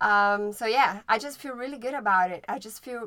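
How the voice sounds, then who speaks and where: A woman with a Brazilian Portuguese accent, a fairly high pitch, and a bright, sharp tone. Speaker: podcast co-host. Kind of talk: casual chat.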